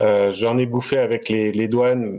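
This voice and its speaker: This man has a dark, mellow tone and a medium pitch. He talks at a fairly slow pace in a very clean recording with a silent background. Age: 30s. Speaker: craft distiller, business owner. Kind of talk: interview, casual chat. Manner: halting, many fillers.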